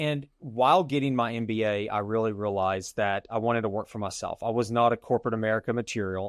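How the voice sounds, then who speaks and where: Against a quiet background, a man of medium pitch talks fairly quickly with ordinary pitch variation. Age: 40s. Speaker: real estate investor. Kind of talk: interview. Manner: halting.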